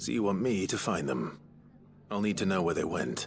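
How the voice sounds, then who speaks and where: A man does a raspy put-on character voice with a very deep, low pitch and very wide pitch swings, keeping a calm tone and very even loudness. He moves at a moderate pace while clear music plays in the background. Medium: video game. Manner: calm, reserved.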